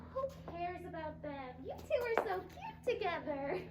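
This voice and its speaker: A woman puts on a squeaky character voice at an extremely high pitch, speaking at a moderate pace over loud background noise with a slight echo. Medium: stage play. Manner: self-centered, showy.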